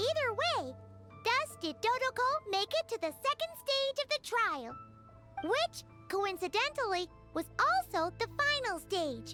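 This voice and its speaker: A put-on character voice, female-sounding, with an extremely high pitch and a bubbly tone. It moves at a fairly slow pace over clear music in the background. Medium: game stream. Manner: bubbly, excitable.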